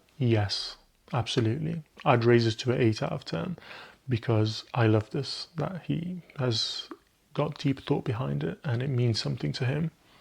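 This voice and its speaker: With an Arabic accent, a man speaks at a moderate pace in a somewhat breathy, medium-pitched voice with lively intonation. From Egypt (Cairo). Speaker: perfume reviewer. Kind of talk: product review, casual talk to camera. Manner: casual, conversational.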